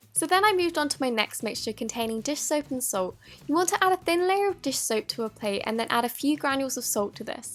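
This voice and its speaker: With music in the background, a woman talks at a very fast pace with hardly any pauses, her high pitch showing very wide pitch swings. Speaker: DIY slime YouTuber. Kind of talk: DIY tutorial voice-over. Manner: upbeat.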